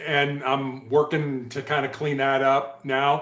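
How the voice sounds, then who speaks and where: Noticeable background noise and audible room echo are both present. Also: man. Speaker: former police hostage negotiator, cancer survivor, author. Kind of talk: interview. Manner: fast.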